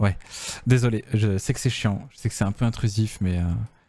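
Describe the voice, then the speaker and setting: This man has a fairly low pitch and a dark, mellow tone. His voice is somewhat breathy. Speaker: game developer streamer. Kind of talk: casual livestream chat. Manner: soft-spoken.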